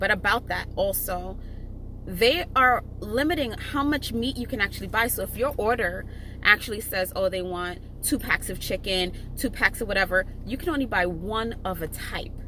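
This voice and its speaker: This woman speaks at a moderate pace with lively intonation and a fairly high pitch, over noticeable background noise. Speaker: gig delivery shopper vlogger. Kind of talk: casual tutorial vlog. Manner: casual, chatty; halting, stumbles over words.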